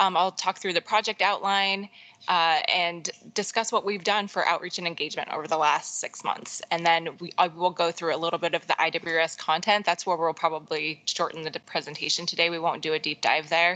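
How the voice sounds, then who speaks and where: A woman talks at a fairly quick pace with a fairly low pitch. Her tone is bright and sharp, and her intonation fairly even. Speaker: state agency water strategy specialist. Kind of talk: formal presentation at a public board meeting. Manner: fast.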